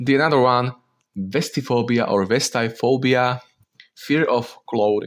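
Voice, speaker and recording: Ordinary pitch variation comes with a non-native accent in this voice. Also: man. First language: not English. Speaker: content creator. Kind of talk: casual commentary. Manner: halting.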